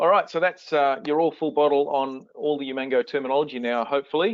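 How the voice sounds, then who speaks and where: A man with an Australian accent. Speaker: software product presenter. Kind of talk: webinar product demo.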